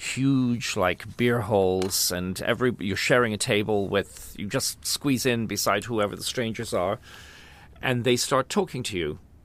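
A man with a Dublin accent talks fairly slowly at a medium pitch, his pitch varying in an ordinary way. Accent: Irish (Dublin). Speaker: choreographer and opera singer. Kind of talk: casual interview. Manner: hesitant, many fillers.

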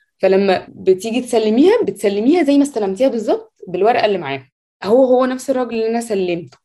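The voice has a dark, mellow tone and lively intonation, moving at a fairly quick pace with hardly any pauses. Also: woman, fairly high pitch for a woman. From Egypt. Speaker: software engineer. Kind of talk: interview.

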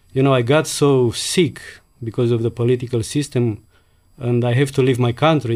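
Here a man talks at a fairly quick pace with a Romanian accent. His voice sits at a medium pitch with fairly even intonation. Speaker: immigrant, former waiter. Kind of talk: personal storytelling interview.

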